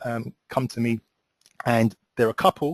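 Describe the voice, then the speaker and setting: A man speaks at a medium pitch. The sound is dry and close, with no echo. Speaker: relationship coach. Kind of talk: webinar presentation. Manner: fast; hesitant, many fillers.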